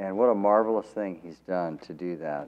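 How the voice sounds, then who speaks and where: The man's voice sits at a very deep, low pitch. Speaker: preacher. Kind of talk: sermon. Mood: warm, smiling. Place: church. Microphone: podium.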